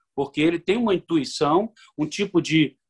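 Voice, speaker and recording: The man's voice sits at a high pitch. The sound is dry and close, with no echo. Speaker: lawyer and university professor. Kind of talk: radio interview.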